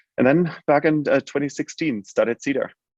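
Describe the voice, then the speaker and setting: Speaking at a moderate pace, a man with a German accent has a fairly high pitch. The sound is dry and close, with no echo. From Germany. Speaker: healthcare tech company CEO. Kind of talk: interview. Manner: halting, many fillers.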